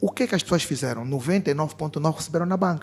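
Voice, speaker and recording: Delivered at a fairly quick pace, the speech has music in the background. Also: man. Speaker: fintech executive, panelist. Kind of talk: panel discussion.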